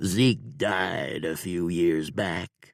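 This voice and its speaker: The speaker puts on a character voice. The pitch leaps around over a very wide range. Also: man. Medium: read story. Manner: slow, self-reproaching.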